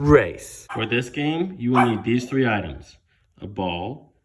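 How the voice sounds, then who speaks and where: Audible room echo surrounds a man speaking at a very slow pace, with medium pitch and lively intonation. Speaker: PE teacher. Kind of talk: tutorial. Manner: stutters at times; animated.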